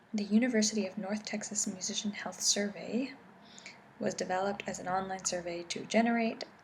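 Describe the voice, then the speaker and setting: Soft-spoken, a woman talks at a moderate pace in a soothing tone, keeping a medium pitch and fairly even intonation. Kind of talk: ASMR academic reading for sleep. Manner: soft-spoken, soothing.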